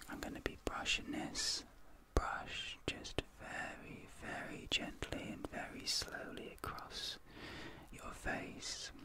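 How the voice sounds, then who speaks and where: A soft-spoken man whispers in a dry sound with no echo, with noticeable background noise. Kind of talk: soft-spoken ASMR role-play. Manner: soft, slow ASMR near-whisper. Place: home room.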